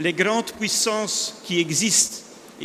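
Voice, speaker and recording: A man with a Flemish accent speaks at a high pitch against noticeable background noise. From northern Belgium (Flanders). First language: Dutch (speaking French). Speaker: industry analyst speaker. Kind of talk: conference presentation.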